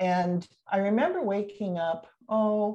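In an American accent, a woman speaks with a dark, mellow tone that is somewhat breathy. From Olympic Peninsula, Washington State, US. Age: 60s. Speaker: retired midwife and professor. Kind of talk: casual interview, telling birth story.

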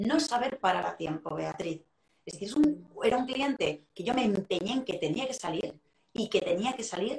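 A woman's high-pitched voice at a moderate pace, with very wide pitch swings. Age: 40s. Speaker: sales and emotional intelligence trainer. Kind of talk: casual interview.

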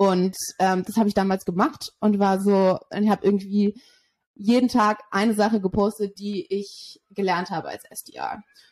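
This woman has an unremarkable speaking voice at a medium pitch, with fairly even intonation. The sound is dry and close with no echo. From Germany, Berlin. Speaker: sales development representative. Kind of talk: interview.

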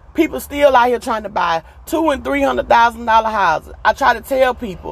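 A high-pitched woman with an animated tone and lively intonation at a moderate pace, over noticeable background noise. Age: 40s. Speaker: podcast host. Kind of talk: casual monologue.

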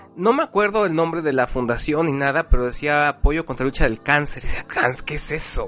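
Against noticeable background noise, a man with a fairly high voice and ordinary pitch variation talks at a fairly quick pace. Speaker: podcast host. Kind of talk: casual chat.

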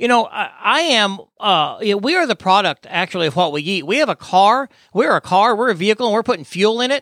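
A man speaks at a fairly quick pace in a high, bright, sharp voice. The recording is very clean, with a silent background and a dry, close sound with no echo. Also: lively intonation, hardly any pauses. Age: 50s. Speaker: podcast host and death investigation trainer. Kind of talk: interview. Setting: studio.

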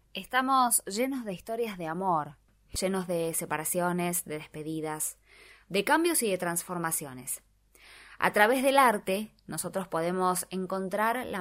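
An unremarkable speaking voice goes at a fairly slow pace in a very clean recording with a silent background. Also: woman. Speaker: radio host. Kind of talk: radio talk show.

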